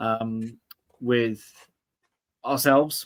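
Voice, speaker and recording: Here is a man with an English accent at a medium pitch. His intonation is monotone and flat. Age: 30s. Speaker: political commentator. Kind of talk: casual chat. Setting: livestream.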